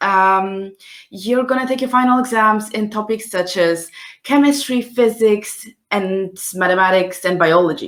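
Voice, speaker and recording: In a Polish accent, a woman talks at a fairly slow pace. Her pitch is fairly high and varies in an ordinary way. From Poland. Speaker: scientist hosting a live science careers session. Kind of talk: live stream talk. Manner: hesitant, many fillers.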